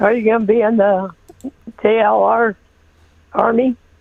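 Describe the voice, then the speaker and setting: Speaking at a moderate pace, a woman uses a fairly high pitch and monotone, flat intonation. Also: long, frequent pauses. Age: 70s. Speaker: caller. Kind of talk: call-in opinion. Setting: phone call.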